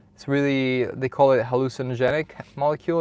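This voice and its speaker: A man speaks at a moderate pace with monotone, flat intonation in a very clean recording with a silent background. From Italy. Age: 20s. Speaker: streamer. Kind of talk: casual live stream talk. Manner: halting.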